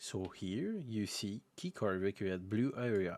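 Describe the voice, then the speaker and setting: A man with a French accent, fairly low pitch, ordinary pitch variation and a very slow pace. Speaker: video game modder. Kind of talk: tutorial. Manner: halting.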